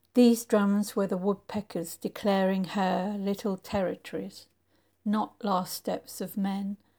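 A somewhat breathy, dark, mellow voice at a fairly slow pace, on a very clean recording with a silent background. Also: woman. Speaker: poet reader. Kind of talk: poetry reading, reflective spoken word.

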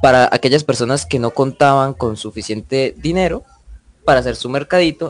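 A man's intonation is lively as music plays in the background. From Colombia, Santander (Barichara). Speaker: student podcast host. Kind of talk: moderated panel discussion.

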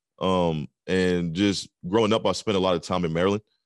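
Against a quiet background, a man with an American accent talks at a moderate pace in a very deep, low voice with fairly even intonation. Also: dry, close sound with no echo. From southern Pennsylvania. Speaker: DJ and podcast host. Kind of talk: casual interview. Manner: mellow, many 'um' fillers.

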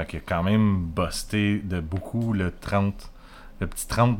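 Speaking with a Quebec accent, a man has a very deep, low pitch. His pace is fairly slow and his intonation fairly even. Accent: Québécois French. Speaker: beer podcast host. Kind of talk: casual chat.

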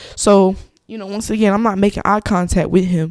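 The woman's voice has a medium pitch and fairly even intonation. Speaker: podcast host. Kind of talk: angry rant about a road-rage incident, cursing and retelling it blow by blow. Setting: solo podcast recording. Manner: furious, loud, fast and aggressive, spitting out curses and mimicking the horn; casual, conversational.

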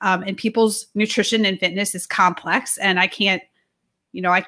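The tone is bright and sharp. Speech moves at a fairly quick pace with ordinary pitch variation. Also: woman. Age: 40s. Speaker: strength and nutrition coach. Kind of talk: casual chat.

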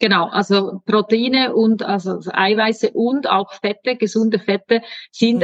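A woman with a normal speaking voice, medium in pitch, at a fairly slow pace with ordinary pitch variation. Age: 40s. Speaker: hormone coach. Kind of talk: casual chat.

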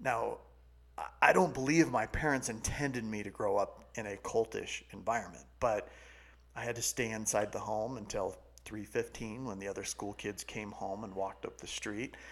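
A man with an American accent, an unremarkable speaking voice of medium pitch, ordinary pitch variation, a moderate pace and big swings in loudness. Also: very clean recording, silent background. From California. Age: 40s. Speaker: sales coach and business founder. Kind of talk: casual chat.

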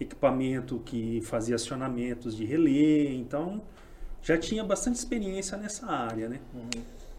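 A man with fairly high pitch talks in very wide pitch swings. Audible room echo surrounds his voice. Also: moderate pace. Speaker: tech startup founder. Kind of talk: casual chat.

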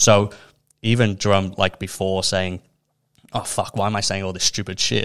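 The speaker has a Liverpool accent and a monotone, flat intonation. Long pauses come often. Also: man, fairly low pitch for a man, moderate pace, very clean recording, silent background. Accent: Scouse (Liverpool). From Liverpool, England. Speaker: mental health initiative co-founder. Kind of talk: casual interview chat.

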